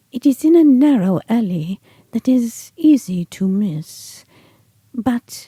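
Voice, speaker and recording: A woman puts on a character voice, speaking very slowly in a calm tone at a fairly high pitch. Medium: read story. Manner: enigmatic, calm.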